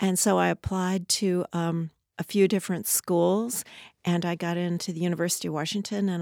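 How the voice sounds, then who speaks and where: Recorded very cleanly with a silent background and a dry, close sound with no echo, a woman with an American accent has an ordinary speaking voice, a fairly low pitch and fairly even intonation. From Southern California. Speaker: architect. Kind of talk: interview. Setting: studio.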